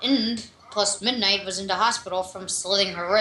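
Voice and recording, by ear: The speaker reads aloud in a natural voice. The intonation stays fairly even.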